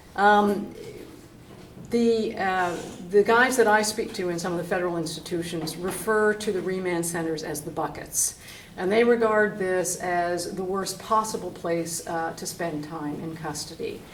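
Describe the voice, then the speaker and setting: At a moderate pace and with ordinary pitch variation, the voice comes through audible room echo and noticeable background noise. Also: woman, medium pitch for a woman. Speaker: advocacy organization representative. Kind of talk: panel talk.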